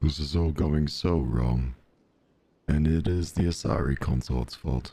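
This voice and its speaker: Using a put-on character voice, a man talks at a fairly slow pace. The pitch is very deep and low. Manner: slow, monotone.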